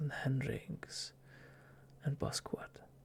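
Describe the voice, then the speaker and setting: Noticeable background noise sits behind a man speaking at a very slow pace. His intonation is monotone and flat. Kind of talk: ASMR story reading. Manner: whispering, soft.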